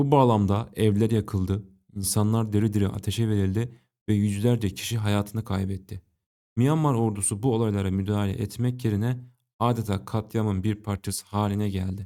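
Delivery comes at a moderate pace with fairly even intonation. The voice has a dark, mellow tone. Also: man, fairly low pitch for a man, very clean recording, silent background. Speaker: history and politics video narrator. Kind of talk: scripted narration.

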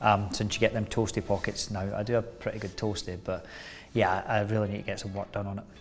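A man with a Scottish accent at a very fast pace, fairly low in pitch with monotone, flat intonation, faint music in the background. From Scotland. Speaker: actor. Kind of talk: interview answer. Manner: casual, chatty. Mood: relaxed, jokey. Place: home room. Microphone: lapel.

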